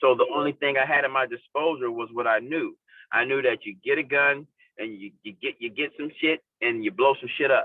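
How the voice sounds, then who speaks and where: With an American accent, a man talks at a medium pitch in a plain, everyday voice. His intonation stays fairly even. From South Central Los Angeles. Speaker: formerly incarcerated juvenile justice advocate. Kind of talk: interview answer. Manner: casual.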